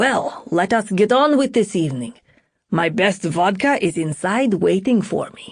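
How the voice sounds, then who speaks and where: A woman performs a put-on character voice at a medium pitch and a moderate pace. Her pitch swings very widely, and her loudness shifts a lot. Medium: read story. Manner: smooth, jovial.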